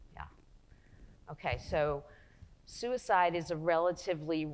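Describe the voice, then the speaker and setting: A woman is speaking. She has a New Jersey accent. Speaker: psychologist and researcher. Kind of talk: lecture.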